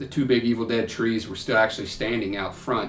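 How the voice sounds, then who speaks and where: With a Kentucky accent, a man speaks at a moderate pace amid noticeable background noise and audible room echo. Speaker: YouTuber, horror film fan. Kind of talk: casual vlog talk to camera. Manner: casual, halting with repetitions.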